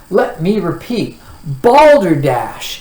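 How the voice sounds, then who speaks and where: A man's loud, shouting, put-on character voice, high in pitch, with very wide pitch swings and audible echo. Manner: booming, shouting.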